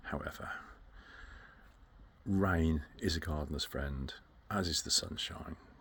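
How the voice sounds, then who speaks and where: A man talks with a British accent. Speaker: gardening vlogger. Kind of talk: casual chat. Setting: outdoors. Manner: soft-spoken.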